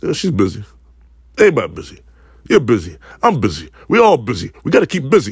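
A man with an American accent speaks very fast at a medium pitch with vocal fry and very wide pitch swings. Long, frequent pauses break up his speech. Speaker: podcaster. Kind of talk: casual solo podcast monologue. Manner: informal, rambling, repeats words, profane.

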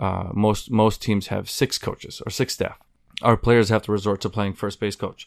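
A man speaks at a moderate pace in a fairly low, flat monotone, recorded dry and close with no echo on a very clean track with a silent background. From West Bank, Palestine. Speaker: baseball player. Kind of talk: interview.

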